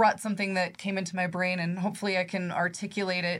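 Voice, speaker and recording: A woman with an American accent speaks in a somewhat breathy voice at medium pitch. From Nebraska, US Midwest. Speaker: credit union executive. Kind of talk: interview.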